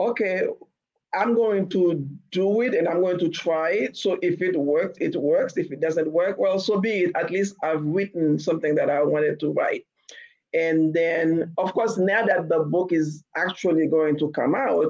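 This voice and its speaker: Speaking fairly slowly, a woman has a Haitian accent. Her pitch is fairly low, with ordinary variation. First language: Haitian Creole. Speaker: novelist. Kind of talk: interview. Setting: podcast.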